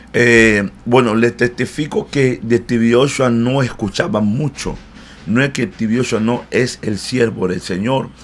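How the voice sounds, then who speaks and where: A man at a medium pitch, fairly slow, with fairly even intonation. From Democratic Republic of the Congo. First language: not Spanish (learned in Cuba) (speaking Spanish). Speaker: pastor. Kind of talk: interview. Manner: halting, many fillers.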